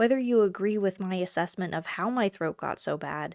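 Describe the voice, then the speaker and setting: An ordinary speaking voice moves along at a moderate pace. The recording is very clean, with a silent background. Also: woman. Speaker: travel vlogger. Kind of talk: casual talk to camera.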